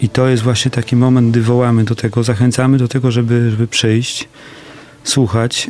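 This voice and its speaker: Noticeable noise sits behind the voice. A man speaks at a moderate pace. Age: 40s. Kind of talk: radio interview. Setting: studio.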